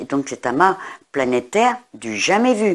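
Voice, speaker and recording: A woman's pitch swings very widely as she talks fairly slowly. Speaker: astrologer and tarot reader. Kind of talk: astrology forecast monologue. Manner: hesitant, many fillers.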